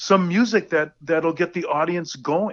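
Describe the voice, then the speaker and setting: This man has an American accent, a high pitch, a bright, sharp tone, and ordinary pitch movement. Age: 60s. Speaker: rock drummer. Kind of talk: casual interview. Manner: halting, repeats words.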